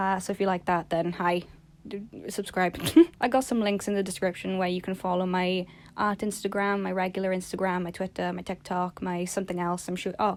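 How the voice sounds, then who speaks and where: A woman speaks quietly at a fairly quick pace, with a medium pitch and monotone, flat intonation. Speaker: art YouTuber. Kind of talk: casual vlog monologue. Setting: recording in bed at home. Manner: quiet, low-energy; rambling, halting.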